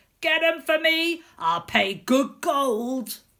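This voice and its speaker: A female-sounding voice in a put-on character voice bellows at a high pitch, gruff and very slow. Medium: read story. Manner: gruff, roaring.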